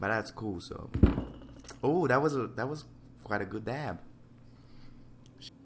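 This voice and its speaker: A man's medium-pitched voice at a fairly slow pace, with long, frequent pauses, big swings in loudness, audible room echo and noticeable background noise. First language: not English. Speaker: digital painter. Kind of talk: casual chat. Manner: casual, hesitant.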